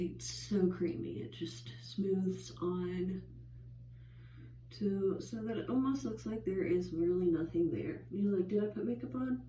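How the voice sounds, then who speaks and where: A woman speaks at a fairly slow pace in a fairly low pitch, her voice swinging very widely in pitch, with audible room echo. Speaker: beauty vlogger. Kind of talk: makeup tutorial. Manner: casual, filler-heavy.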